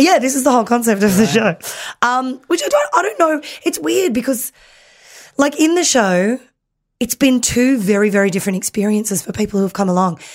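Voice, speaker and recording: Her pitch fairly high and swinging very widely, a woman with an Australian accent speaks at a fairly quick pace. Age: 30s. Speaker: comedian. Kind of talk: casual chat.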